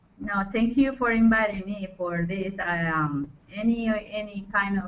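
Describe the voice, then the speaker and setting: A woman of medium pitch with a Spanish accent and fairly even intonation. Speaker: forestry project leader. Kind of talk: webinar panel discussion. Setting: online webinar.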